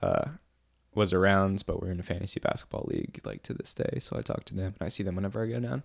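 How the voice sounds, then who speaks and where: A man with an American accent and a normal speaking voice, fairly low in pitch, with lively intonation, on a very clean recording with a silent background. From New Orleans, US South. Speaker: filmmaker and musician. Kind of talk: casual podcast interview.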